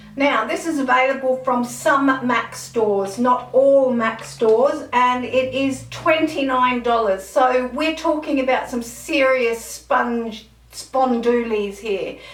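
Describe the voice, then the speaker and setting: A woman speaks at a very slow pace with hardly any pauses, her pitch high and its variation ordinary. Noticeable background noise runs beneath her. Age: 50s. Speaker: beauty vlogger. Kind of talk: casual product review to camera.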